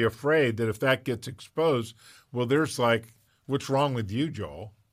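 A man with a normal speaking voice, medium pitch, moderate pace and fairly even intonation, in a very clean recording with a silent background. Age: 60s. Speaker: podcast host and pastor. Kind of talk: casual interview chat.

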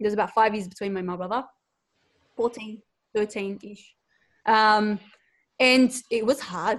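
An Australian accent from a woman, fairly high in pitch, with fairly even intonation at a moderate pace. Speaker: online entrepreneur and mother. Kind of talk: interview, casual conversation.

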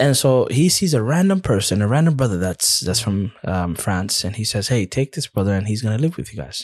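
Somewhat breathy speech in an American accent moves at a fairly quick pace with hardly any pauses and very wide pitch swings. The sound is dry and close with no echo, on a very clean recording with a silent background. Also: man, medium pitch for a man. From USA. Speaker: Islamic teacher who studied abroad. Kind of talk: casual interview chat.

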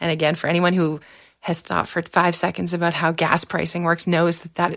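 A woman talks at a fairly quick pace in a fairly low voice with vocal fry and monotone, flat intonation. The recording is very clean, with a silent background. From southwestern Ontario, Canada. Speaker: political scientist and former election candidate. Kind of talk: interview.

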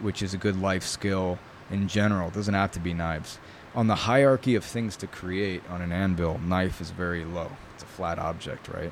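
Over noticeable background noise, a man with a very deep, low pitch speaks at a moderate pace with fairly even intonation. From New York. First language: Italian. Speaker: bladesmith. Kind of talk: casual interview. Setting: in person.

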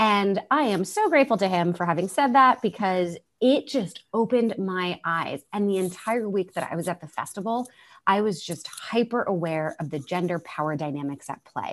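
Lively intonation runs through this woman's medium-pitched voice. She has a normal speaking voice. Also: moderate pace. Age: 30s. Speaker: entrepreneur, co-founder of a women's career community. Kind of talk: interview.

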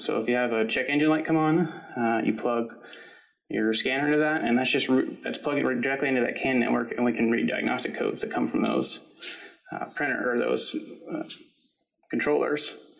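Audible room echo surrounds a man who speaks at a fairly quick pace. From Kentucky. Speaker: PhD student in engineering. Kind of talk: interview. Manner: hesitant with fillers.

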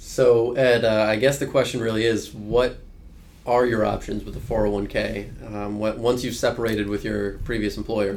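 In a room with audible echo, a man with a medium pitch talks at a moderate pace in a flat, monotone way. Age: 20s. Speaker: financial advisor. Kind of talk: casual chat. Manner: halting, many fillers.

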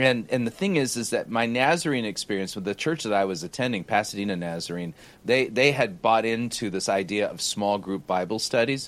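A man with an unremarkable speaking voice, medium pitch, lively intonation, a fairly quick pace and hardly any pauses. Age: 50s. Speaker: pastor. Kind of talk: casual chat.

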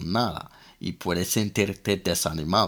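On a very clean recording with a silent background, a man with an English accent speaks at a fairly slow pace, his very deep, low pitch showing ordinary variation. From London, England. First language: English (speaking Spanish). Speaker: language teacher podcaster. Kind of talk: language lesson.

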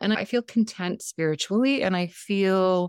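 Dry, close sound with no echo, a woman at medium pitch and a fairly slow pace. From San Diego, California. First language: Montenegrin. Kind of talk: interview conversation.

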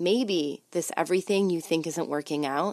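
A woman with a normal speaking voice, fairly low in pitch, at a moderate pace with ordinary pitch variation, in a dry, close sound with no echo. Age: 30s. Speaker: podcast host. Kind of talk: solo podcast monologue. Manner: casual with frequent fillers.

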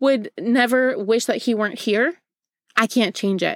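On a very clean recording with a silent background, a woman speaks in an animated tone at a high pitch and a fairly quick pace. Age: 20s. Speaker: podcast host and physical therapist. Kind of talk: solo motivational monologue. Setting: closet floor or home office.

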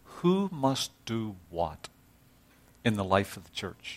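A man with a Northern Irish accent talks at a fairly slow pace in a fairly low pitch. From Northern Ireland. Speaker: visiting preacher. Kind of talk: sermon. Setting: church.

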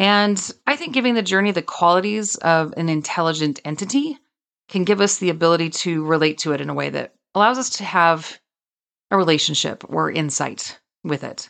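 Over a quiet background, a woman talks at a fairly quick pace. Her intonation is lively. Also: fairly low pitch for a woman. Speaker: podcast host and author. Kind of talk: solo monologue. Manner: more intense when passionate.

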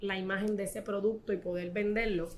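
A woman at a fairly quick pace. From Puerto Rico, Corozal. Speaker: fashion designer and image consultant. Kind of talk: casual interview.

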